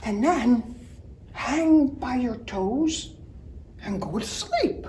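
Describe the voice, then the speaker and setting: Someone speaks in a put-on character voice at a very slow pace. Light background noise can be heard. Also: woman, high pitch for a woman. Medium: read story.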